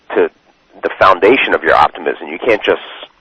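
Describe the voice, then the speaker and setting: The recording is dry and close with no echo, as a man with an American accent talks at a fairly quick pace. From Maryland, US. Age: 30s. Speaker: internet marketer. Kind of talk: interview. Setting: phone call. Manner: halting, many repetitions.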